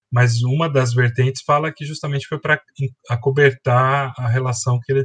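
Recorded dry and close with no echo, a somewhat breathy man speaks at a medium pitch and a moderate pace with fairly even intonation. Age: 40s. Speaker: biology teacher. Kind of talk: educational podcast explanation.

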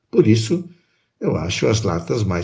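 A somewhat breathy man talks in a fairly low pitch. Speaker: podcast co-host and narrator. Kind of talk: scripted narration and poetry reading. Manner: calm, measured, expressive.

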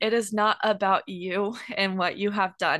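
Against a quiet background, a woman speaks in a normal speaking voice at a medium pitch and a fairly slow pace. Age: 20s. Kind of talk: casual Bible teaching chat.

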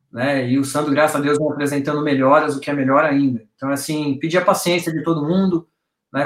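A man's fairly high-pitched, monotone voice with flat intonation and a fairly quick pace. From Brazil, São Paulo. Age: 40s. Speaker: fan project organizer. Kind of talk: casual chat. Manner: fast.

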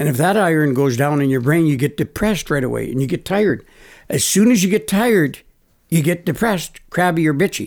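A man with a plain, everyday voice speaks at a fairly high pitch and a fairly quick pace. His intonation is lively, and the recording is very clean with a silent background. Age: 60s. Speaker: natural health practitioner. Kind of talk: interview.

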